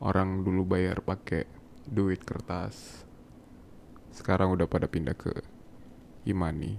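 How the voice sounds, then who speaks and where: A man's very deep, low voice with vocal fry. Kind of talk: ASMR boyfriend roleplay. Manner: soft-spoken, affectionate.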